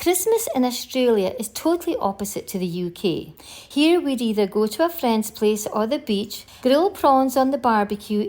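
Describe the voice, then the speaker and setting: A woman with a Scottish accent speaks at a moderate pace with hardly any pauses and very wide pitch swings, over noticeable background noise. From northeast Scotland. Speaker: travel vlogger. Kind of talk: scripted narration.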